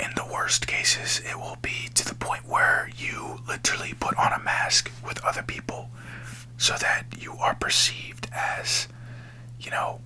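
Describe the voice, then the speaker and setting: A man whispers at a fairly slow pace, his loudness swinging widely. Background noise is noticeable. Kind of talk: ASMR whispered spiritual talk. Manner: whispered, soft, slow.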